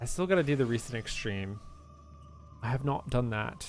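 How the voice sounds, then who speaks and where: A soft-spoken man at medium pitch talks at a fairly quick pace with lively intonation, music playing in the background. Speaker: gaming streamer. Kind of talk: live gameplay stream chat. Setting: live stream.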